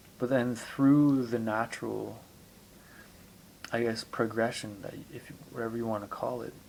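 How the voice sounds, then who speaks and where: A man speaks at a medium pitch with monotone, flat intonation. His loudness swings widely, and he takes long, frequent pauses. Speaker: amateur video blogger on spirituality. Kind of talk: reflective monologue. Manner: slow; deliberate.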